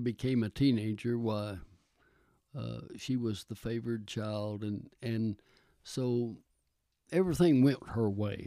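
In a Texan accent, a man speaks at a fairly slow pace with a dark, mellow tone and ordinary pitch variation. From Texas. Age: 80s+. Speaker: retired pastor. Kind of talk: casual interview.

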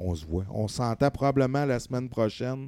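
A man's dark, mellow tone with lively intonation, in a very clean recording over a silent background. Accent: Quebec. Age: 30s. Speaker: sports podcast host. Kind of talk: casual chat. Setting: home studio, live stream.

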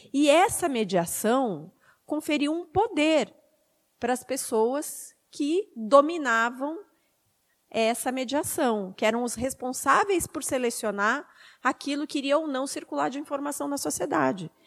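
Using a high pitch and lively intonation, a woman talks at a fairly slow pace. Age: 40s. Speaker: media activist, panelist. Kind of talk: panel talk.

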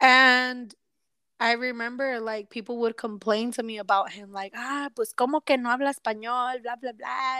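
A woman with a high pitch speaks in a bright, sharp tone at a moderate pace, her intonation monotone and flat but her loudness swinging widely. The recording is very clean and dry, close with no echo, against a silent background. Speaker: podcast co-host. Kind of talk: casual chat.

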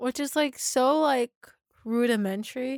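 A woman's voice in a dry, close sound with no echo. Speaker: podcast co-host. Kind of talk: casual chat, episode recap podcast. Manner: casual, enthusiastic, filler-heavy.

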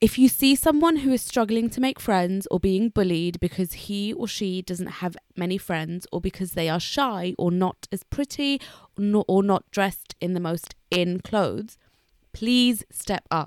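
A woman with a British accent uses lively intonation in a dry, close sound with no echo. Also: medium pitch for a woman, fairly slow pace, very clean recording, silent background. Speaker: podcast co-host. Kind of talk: casual chat.

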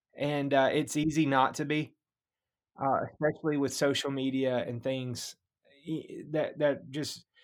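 A man's very slow, fairly high-pitched speech in a Southern US accent, with fairly even intonation, in a very clean recording with a silent background. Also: long, frequent pauses. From Mississippi. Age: 30s. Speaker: pastor and hunter. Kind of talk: casual interview.

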